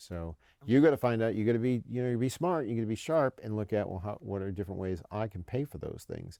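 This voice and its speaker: Against a quiet background, a man with an American accent speaks very fast at medium pitch, with a dark, mellow tone and lively intonation. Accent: northern US accent, slips out at times. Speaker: military education official. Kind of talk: podcast interview. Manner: many repetitions and false starts.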